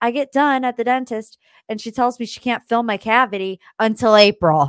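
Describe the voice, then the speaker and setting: On a very clean recording with a silent background, a woman speaks in an animated tone at a moderate pace, the sound dry and close with no echo. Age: 20s. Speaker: pop culture podcast host. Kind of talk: casual chat.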